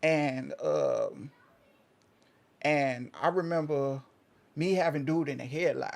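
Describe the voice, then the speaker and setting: Speaking with an American accent, a man goes at a very slow pace with long, frequent pauses. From Oklahoma. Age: 30s. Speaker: interview guest. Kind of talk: casual interview, personal story. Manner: halting, repeats himself.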